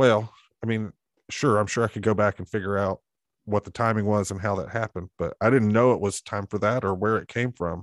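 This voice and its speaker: Speaking in an Alabama accent at a moderate pace, a man has a fairly low pitch, captured in a very clean recording with a silent background and a dry, close sound with no echo. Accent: Southern US (Alabama). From US South, Alabama (Montevallo, south of Birmingham). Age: 40s. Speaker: pastor. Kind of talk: casual interview.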